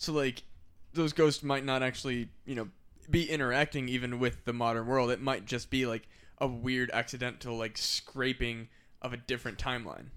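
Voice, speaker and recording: A man with an American accent and an ordinary speaking voice, medium in pitch, with fairly even intonation at a moderate pace. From Iowa (Burlington). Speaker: podcast host. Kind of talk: casual chat. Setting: studio.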